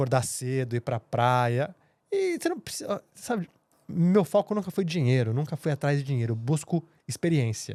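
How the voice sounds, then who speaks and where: A man speaks at a moderate pace with a fairly high pitch and lively intonation. His tone is dark and mellow, and the sound is dry and close with no echo. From Brazil, São Paulo. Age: 30s. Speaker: TV journalist. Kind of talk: podcast interview.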